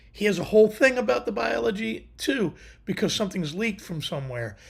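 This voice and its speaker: This man's voice is somewhat breathy, with very wide pitch swings. He keeps a moderate pace. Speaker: livestream host. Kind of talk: casual chat. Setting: live stream with chat.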